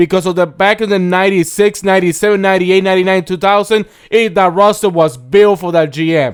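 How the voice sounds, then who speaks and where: A loud, animated delivery at a fairly quick pace. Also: man. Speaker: sports podcast co-host. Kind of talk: casual chat.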